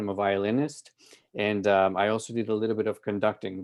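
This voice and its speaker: The man has a fairly low pitch. He speaks at a fairly quick pace. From Colombia (Medellin). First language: Spanish. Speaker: music festival director, violinist. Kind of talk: presentation to club. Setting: video call.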